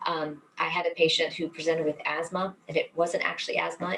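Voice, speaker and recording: Noticeable background noise runs under a woman's fairly low voice. She speaks at a fairly quick pace in a flat monotone. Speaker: cardiologist. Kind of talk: webinar lecture; Q&A answer. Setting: online webinar. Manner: fast; many fillers, um and sort of.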